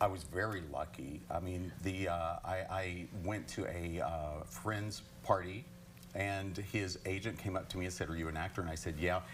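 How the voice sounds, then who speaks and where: A man with a very deep, low pitch and an American accent talks at a moderate pace, with audible room echo around him. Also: ordinary pitch variation. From eastern Kentucky (Hazard). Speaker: actor. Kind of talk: TV interview. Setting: TV studio.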